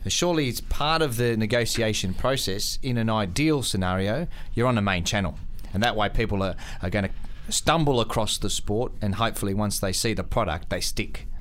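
A man of medium pitch speaks in an ordinary speaking voice at a fairly quick pace, with ordinary pitch variation. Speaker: radio host and sports broadcaster. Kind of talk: radio interview.

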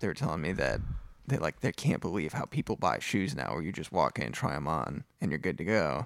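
Over a very clean, silent background with dry, close sound and no echo, a man speaks at a moderate pace with a very deep, low pitch, vocal fry and very wide pitch swings. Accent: American. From upstate New York. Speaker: guitarist. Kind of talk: casual chat.

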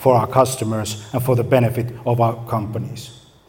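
A man with a Finnish accent, somewhat breathy and dark, mellow in tone, at a moderate pace with fairly even intonation. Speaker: marketing agency owner. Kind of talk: conference talk. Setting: stage with audience.

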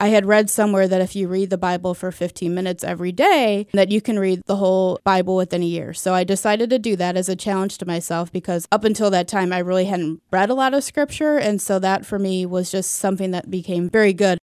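A woman with a Midwestern American accent at a very fast pace, fairly even intonation and hardly any pauses. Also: medium pitch for a woman. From US Midwest, St. Louis, Missouri. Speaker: nurse. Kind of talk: casual interview testimony.

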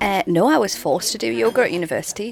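There's a woman talking. Background noise is clearly audible. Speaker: yoga studio owner. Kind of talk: casual interview chat.

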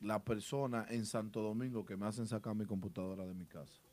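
The man's voice is fairly low in pitch with a dark, mellow tone. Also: very clean recording, silent background. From Dominican Republic. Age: 30s. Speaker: DJ. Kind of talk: casual chat. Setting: studio.

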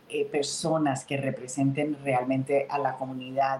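A woman speaks at a moderate pace in a very deep, low pitch. Noticeable background noise is present. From Colombia, Santander (Bucaramanga). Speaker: state senator, politician. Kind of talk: interview.

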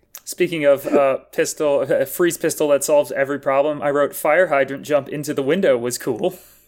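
Talking at a fairly quick pace with hardly any pauses, a man with a plain, everyday voice and an American accent uses a fairly high pitch and fairly even intonation. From US Midwest, Wisconsin. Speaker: comedian. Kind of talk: casual chat.

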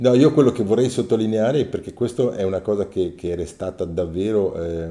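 A man's voice with a dark, mellow tone. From Ticino, Switzerland (Mendrisiotto). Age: 60s. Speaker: former teacher-trainee, interviewee. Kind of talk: personal testimony. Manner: halting, with frequent fillers.

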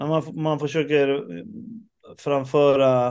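Here a man talks. The rise and fall of his voice is fairly even. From Uruguay and Stockholm, Sweden. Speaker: rock drummer. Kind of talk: interview. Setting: video call.

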